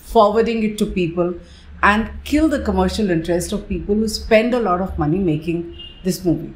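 A woman speaks with vocal fry. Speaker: journalist commentator. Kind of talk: commentary. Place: home room. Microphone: webcam.

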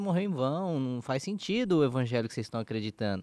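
This man speaks fairly quickly. His pitch swings very widely. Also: quiet background, dry sound with no echo. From São Paulo, Brazil. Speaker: podcast co-host, pastor. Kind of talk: casual religious discussion. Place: studio. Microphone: studio mic.

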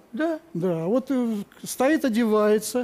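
This man has a dark, mellow tone and a high pitch. He talks at a very slow pace with ordinary pitch variation. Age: 60s. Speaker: retired military pilot, husband. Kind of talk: TV talk show testimony. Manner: halting. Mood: emotional, touched. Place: studio. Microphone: lapel.

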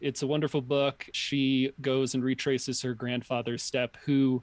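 In a dry, close sound with no echo, a man speaks at a fairly slow pace and medium pitch with monotone, flat intonation. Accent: American. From New York. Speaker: podcast guest. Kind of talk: casual chat.

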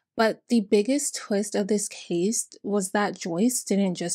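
Against a quiet background, a woman talks with a dark, mellow tone. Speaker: channel host. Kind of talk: true-crime storytelling commentary. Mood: serious, indignant. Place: home room.

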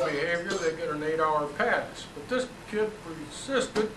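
A man speaks at a fairly slow pace with lively intonation over noticeable background noise. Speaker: moderator of community talk series. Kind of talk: moderating and introducing speakers. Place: hall. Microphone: camera far.

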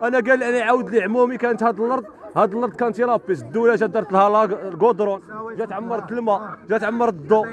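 A man with a high pitch speaks at a fairly quick pace with ordinary pitch variation, in a dry sound with no echo and light background noise. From Morocco, Oujda; Morocco. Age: 20s. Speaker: local resident. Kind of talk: street interview complaint. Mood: angry protest. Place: street. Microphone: handheld.

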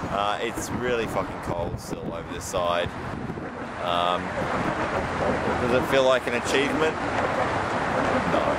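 Talking at a fairly slow pace with long, frequent pauses, a man speaks in an Australian accent. Loud background noise runs under a dry sound with no echo. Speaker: traveller vlogger. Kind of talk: casual travel vlog talk. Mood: dry, joking, tired. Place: street. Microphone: phone near.

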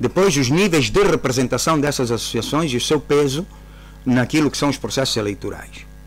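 Over faint background music, a man talks at a moderate pace and a medium pitch, with ordinary pitch variation and very even loudness. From Angola. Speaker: government minister. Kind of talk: radio interview. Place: studio. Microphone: studio mic.

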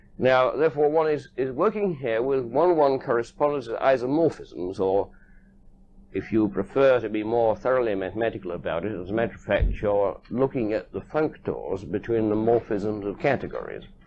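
A man talks at a moderate pace with lively intonation. There is light background noise. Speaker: lecturer. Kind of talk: lecture. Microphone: old recording.

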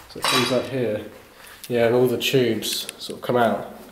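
A man speaks at a fairly slow pace. Audible room echo and light background noise are present. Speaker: urban explorer vlogger. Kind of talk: casual vlog chat. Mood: curious, hushed. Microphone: phone near.

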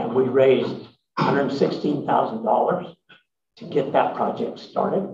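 A man speaks at a very slow pace, his somewhat breathy voice fairly high-pitched with lively intonation. Light background noise and audible room echo fill the recording. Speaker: emeritus professor and social entrepreneur; speaker. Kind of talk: interview answers at a symposium. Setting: stage with audience. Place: meeting room.

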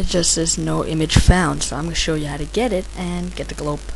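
A woman speaks over noticeable background noise. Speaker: hobbyist tutorial maker. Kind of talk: software tutorial narration. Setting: damaged mic with buzzing. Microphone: handheld.

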